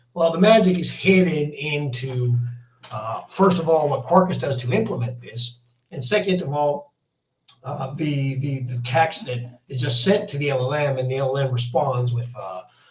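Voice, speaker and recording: In a space with audible room echo, a man with a fairly high pitch talks at a moderate pace with lively intonation. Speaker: software developer demoing a framework. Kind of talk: technical demo. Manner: hesitant, many fillers.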